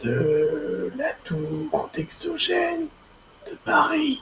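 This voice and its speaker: A man speaks in a put-on character voice. His tone is raspy. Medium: actual play. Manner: servile yet ominous.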